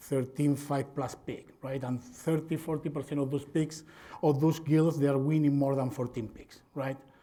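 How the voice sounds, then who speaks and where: A man with a Spanish accent speaks at a moderate pace with a fairly high pitch. His tone is dark and mellow, and his intonation is monotone and flat. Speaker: veterinarian and swine industry presenter. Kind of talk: conference presentation.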